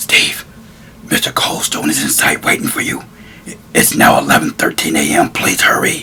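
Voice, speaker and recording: In a put-on character voice, the speaker whispers at a moderate pace with long, frequent pauses. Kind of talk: one-man play performance. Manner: nervous, hurried.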